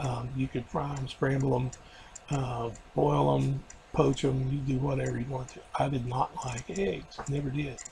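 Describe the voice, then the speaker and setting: A man talks at a fairly slow pace and medium pitch with fairly even intonation over noticeable background noise. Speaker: video diarist after weight loss surgery. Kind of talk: personal video diary. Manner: halting, many fillers.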